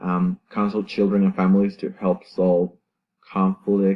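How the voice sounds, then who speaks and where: A man speaks at a fairly slow pace with a Salvadoran accent. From El Salvador, San Miguel. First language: Spanish. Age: 20s. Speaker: university student. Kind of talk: class presentation. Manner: halting, many fillers and self-corrections.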